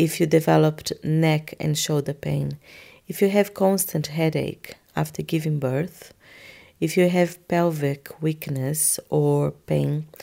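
A woman's very slow speech in a Portuguese accent, on a very clean recording with a silent background. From Brazil. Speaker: osteopath. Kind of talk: interview.

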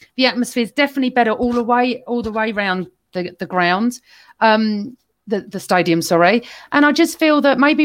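A woman's normal speaking voice, fairly high in pitch, with lively intonation and a fairly quick pace against a quiet background. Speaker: football fan guest. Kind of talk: casual chat.

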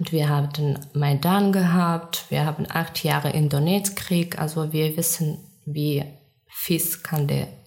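Amid noticeable background noise, a woman speaks at a very slow pace. Her very deep, low voice has monotone, flat intonation. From Ukraine. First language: Ukrainian or Russian (speaking German). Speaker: war refugee. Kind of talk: interview. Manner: halting non-native phrasing.

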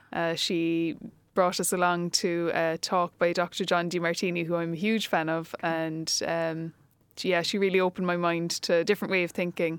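A woman with a Cork accent speaks fairly quickly at a fairly low pitch, her intonation flat and monotone. The recording is very clean, with a silent background. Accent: Cork Irish. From Ireland, Cork. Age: 30s. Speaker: teacher and empowerment coach. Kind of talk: casual interview chat.

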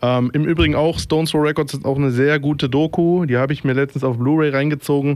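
A man's fairly high voice at a very fast pace, with hardly any pauses, fairly even intonation, and very even loudness. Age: 30s. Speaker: radio DJ. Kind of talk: casual radio moderation. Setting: studio. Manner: hesitant with many fillers.

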